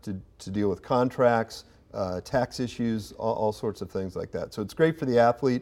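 In a very clean recording with a silent background, a man with a Midwestern American accent speaks at a moderate pace in a dark, mellow tone with ordinary pitch variation. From Indiana (Kokomo). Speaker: booster organization executive. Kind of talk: interview.

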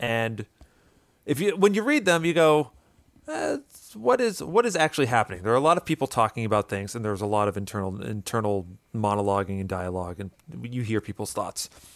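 On a very clean recording with a silent background, a man with a normal speaking voice at medium pitch talks at a fairly quick pace with lively intonation, the sound dry and close with no echo. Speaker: guest. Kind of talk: casual chat.

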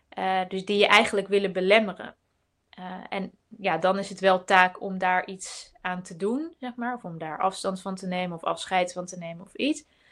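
The woman has an unremarkable speaking voice at a medium pitch. She talks at a moderate pace with fairly even intonation, though her loudness swings widely. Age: 30s. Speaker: entrepreneur and writer. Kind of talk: casual live webinar chat. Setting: video call webinar.

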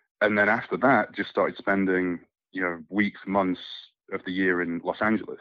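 Fairly low-pitched and monotone, a man talks at a moderate pace with flat intonation. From Scotland. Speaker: soap opera actor. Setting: phone call.

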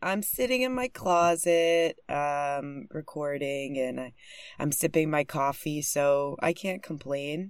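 A woman speaks quietly at a very slow pace in a very deep, low pitch. Her intonation is lively, on a very clean recording with a silent background. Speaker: podcast host. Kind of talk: casual interview. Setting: recording in a closet. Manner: deliberately quiet.

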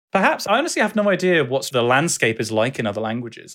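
A man's very fast, bright, sharp voice with a southern English accent. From southwest England. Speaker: educational YouTuber and streamer. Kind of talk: interview.

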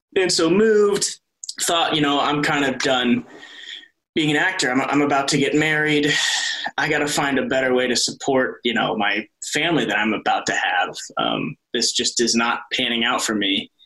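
With an American accent and an unremarkable speaking voice, the speaker talks at a moderate pace with lively intonation and very even loudness. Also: man, fairly high pitch for a man. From US Midwest, Iowa. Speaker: soap opera actor. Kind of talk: casual interview.

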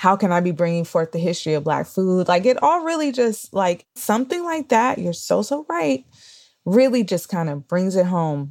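Talking at a moderate pace, a woman uses an unremarkable speaking voice at a medium pitch. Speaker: podcast host. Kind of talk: casual interview chat.

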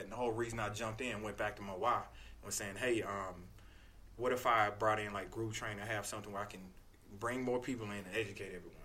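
Using an American accent, a man speaks at a very fast pace with a fairly low pitch. His tone is bright and sharp, his intonation monotone and flat. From North Carolina. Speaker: personal trainer. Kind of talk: casual chat. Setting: studio.

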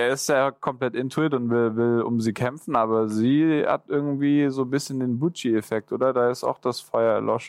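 A man speaks in a normal speaking voice at a medium pitch and moderate pace, with hardly any pauses, fairly even intonation and very even loudness. The sound is dry and close with no echo, on a very clean recording with a silent background. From Swabia, southern Germany. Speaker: podcast co-host, former winner of the show. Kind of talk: casual chat.

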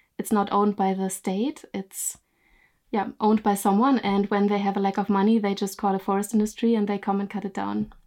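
In a German accent, a woman talks at a fairly quick pace with a medium pitch and monotone, flat intonation on a very clean recording with a silent background. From Germany. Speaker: YouTube storyteller and photographer. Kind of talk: casual interview.

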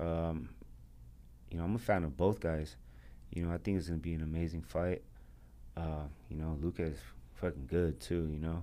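In an American accent, a man with a very deep, low, dark and mellow voice speaks at a moderate pace, with ordinary pitch variation and long, frequent pauses. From US, grew up in the projects. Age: 30s. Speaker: professional fighter. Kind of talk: interview. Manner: casual, filler-heavy.

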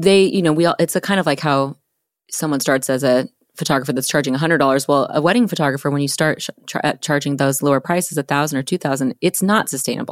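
Recorded very cleanly against a silent background, with a dry, close sound and no echo, a woman talks at a very fast pace in a very deep, low pitch with ordinary pitch variation. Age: 40s. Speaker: podcast host and photographer. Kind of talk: podcast interview.

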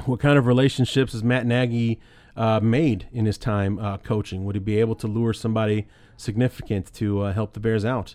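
Against a quiet background, a man of medium pitch talks at a fairly quick pace with fairly even intonation. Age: 30s. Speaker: sports podcast host. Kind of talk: casual sports talk monologue. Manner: casual, hesitant with many fillers.

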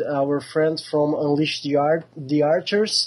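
With a Portuguese accent, a man speaks at a fairly high pitch. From southern Brazil, Porto Alegre. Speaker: metal band singer. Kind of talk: interview. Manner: halting.

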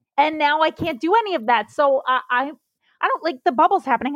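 A woman with an American accent talks at a fairly quick pace, her high voice making very wide pitch swings. The sound is dry and close with no echo. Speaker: comedian. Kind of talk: casual chat. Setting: video call. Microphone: bad internet connection.

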